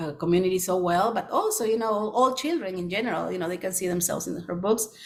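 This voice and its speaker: Audible room echo surrounds a woman speaking with a Spanish accent at medium pitch and ordinary pitch variation. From Peru, Lima. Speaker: children's book author. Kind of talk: presentation Q&A. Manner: halting with many fillers.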